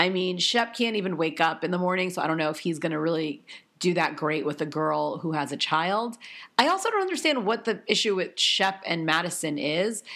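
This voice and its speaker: A woman with a fairly low pitch and ordinary pitch variation talks at a fairly quick pace over noticeable background noise. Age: 30s. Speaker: podcast host. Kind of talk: casual chat. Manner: rambling with fillers.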